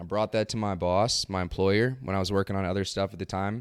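On a very clean recording with a silent background, a man's voice comes through dry and close with no echo. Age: 30s. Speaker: former investment trader. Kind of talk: casual interview. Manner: articulate.

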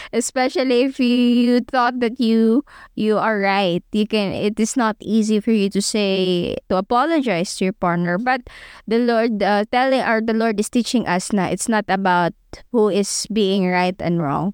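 A woman's fairly high voice with a Filipino accent, very even in loudness, ordinary pitch movement, dry and close with no echo, on a very clean recording over a silent background. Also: moderate pace. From Philippines. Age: 20s. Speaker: podcast co-host. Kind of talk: religious teaching podcast. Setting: studio.

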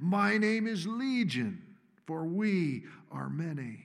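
A man growls and bellows in a put-on character voice, pitched high for a man and delivered at a very slow pace. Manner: menacing.

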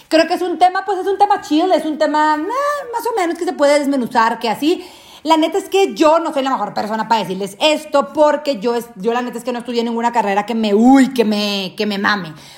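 Someone speaks fairly quickly in an animated tone with very wide pitch swings, amid noticeable background noise. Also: woman, high pitch for a woman. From Mexico, Sinaloa (Guasave). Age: 20s. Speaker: podcast host. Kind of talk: casual chat.

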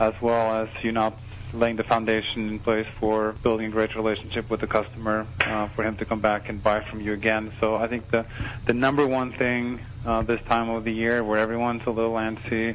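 A man talks fairly quickly at a medium pitch, his intonation flat and monotone. Noticeable background noise runs underneath. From Norway. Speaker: software company executive. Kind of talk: interview.

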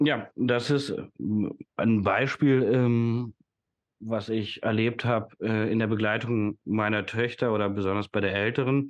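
Over a quiet background, a man speaks at a very slow pace and medium pitch. His intonation stays fairly even. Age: 30s. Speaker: educator and systemic coach. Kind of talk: casual interview conversation.

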